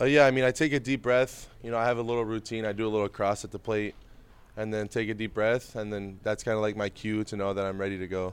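A man talks very fast, his fairly low voice holding a fairly even intonation. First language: Spanish. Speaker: baseball prospect. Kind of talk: casual interview.

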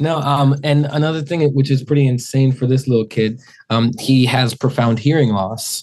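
A man's unremarkable speaking voice at medium pitch, moderate pace, fairly even intonation and very even loudness. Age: 30s. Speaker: singer. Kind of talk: casual chat.

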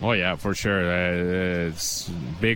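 This man has a Finnish accent. His pitch is very deep and low. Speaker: hockey head coach. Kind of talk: post-game interview. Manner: halting, searching for words.

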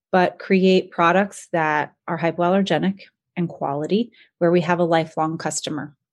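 An unremarkable speaking voice with an American accent moves at a moderate pace with fairly even intonation. The background is quiet. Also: woman. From North Carolina, US. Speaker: startup founder and CEO. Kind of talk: interview.

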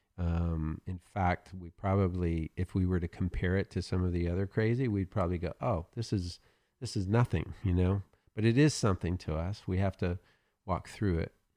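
Over a quiet background, a man with an Oklahoma accent speaks at a moderate pace in a very deep, low pitch with a dark, mellow tone, fairly even intonation, and a dry, close sound with no echo. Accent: Oklahoma Southern US. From Oklahoma, US South. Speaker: pastor. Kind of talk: interview.

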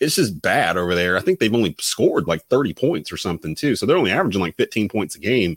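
Talking at a very fast pace with hardly any pauses, a man with a fairly low pitch makes very wide pitch swings, recorded very cleanly over a silent background with a dry, close sound and no echo. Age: 40s. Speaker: sports podcast host. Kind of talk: casual chat.

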